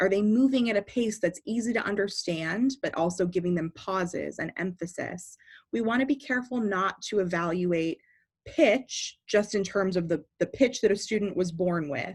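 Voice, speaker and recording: Her voice somewhat breathy and medium in pitch, a woman speaks at a moderate pace with lively intonation in a very clean recording with a silent background. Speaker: speech and debate coach. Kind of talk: tutorial.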